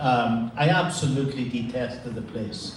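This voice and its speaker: Speaking at a fairly slow pace in a Donegal Irish accent, a man is heard with audible room echo and noticeable background noise. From Ireland, County Donegal (Letterkenny). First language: Irish Gaelic. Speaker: priest. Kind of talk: after-lunch talk. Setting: luncheon with audience. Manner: hesitant, many fillers.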